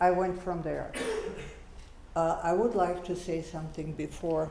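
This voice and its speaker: At a fairly slow pace, the talking continues over noticeable background noise. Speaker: Holocaust survivor. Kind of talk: panel discussion.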